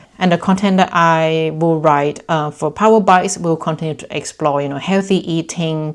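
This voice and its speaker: In a very clean recording with a silent background, a woman speaks in a Thai accent at a fairly low pitch. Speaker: lifestyle vlogger. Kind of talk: casual vlog talk to camera. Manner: energetic.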